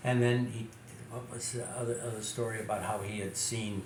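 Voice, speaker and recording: Over noticeable background noise, a man with an American accent speaks at medium pitch and a moderate pace, his intonation fairly even. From Chicago. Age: 80s+. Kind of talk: interview answer. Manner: hesitant, repeats words.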